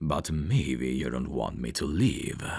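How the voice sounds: A man puts on a character voice, extremely low in pitch, with vocal fry and a slightly husky edge. His tone is slightly mellow, his pace slow and his intonation lively. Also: very clean recording, silent background.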